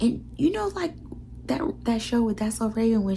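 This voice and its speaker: A woman is whispering. Noticeable background noise runs beneath her voice. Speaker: vlogger. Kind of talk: casual vlog talk.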